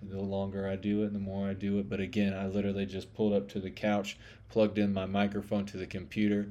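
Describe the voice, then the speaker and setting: Speaking in a fairly low pitch with a Southern US accent, a man moves at a fairly quick pace with monotone, flat intonation. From US South. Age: 30s. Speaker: podcast host. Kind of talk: casual monologue. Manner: rambling, many fillers.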